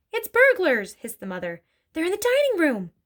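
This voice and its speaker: A woman puts on a character voice, squeaky and hissing at an extremely high pitch. She goes at a fairly quick pace, with big swings in loudness. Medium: read story.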